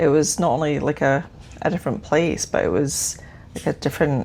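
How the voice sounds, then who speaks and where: A woman with a very deep, low voice talks at a moderate pace, her pitch varying in an ordinary way. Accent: Edinburgh. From Scotland, Edinburgh. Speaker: witch and tarot practitioner. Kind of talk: casual chat. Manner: hesitant, many fillers.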